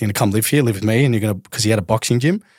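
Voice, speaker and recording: This man speaks with an Australian accent. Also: very clean recording, silent background. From Australia, southeast Melbourne. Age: 30s. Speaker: retired professional footballer. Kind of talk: casual chat.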